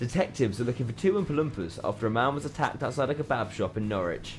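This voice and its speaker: A man's animated, upbeat voice at a medium pitch and very fast pace, with lively intonation over music in the background. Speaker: student radio DJ. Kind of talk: radio DJ patter, scripted jingles and banter. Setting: university radio studio. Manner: animated, jokey, upbeat.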